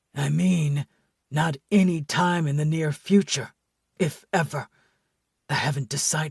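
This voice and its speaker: A put-on character voice at a fairly slow pace, fairly even in intonation, with long, frequent pauses and a dry, close sound with no echo. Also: man, fairly high pitch for a man. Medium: audio drama. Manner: calm, measured.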